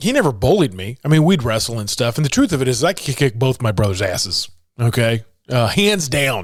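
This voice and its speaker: An animated, somewhat breathy male voice at medium pitch, fairly quick, with very wide pitch swings. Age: 50s. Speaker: motivational speaker and podcast host. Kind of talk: casual monologue.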